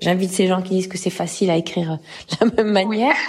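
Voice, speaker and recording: A woman talks with fairly even intonation. Noticeable background noise can be heard. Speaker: singer and actress. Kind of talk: interview.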